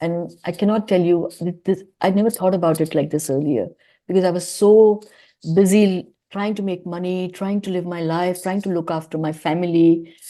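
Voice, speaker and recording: Against a quiet background, a woman talks at a moderate pace in a fairly low pitch, her tone dark and mellow and her intonation fairly even. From India. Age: 50s. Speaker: author and public speaker. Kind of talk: podcast interview.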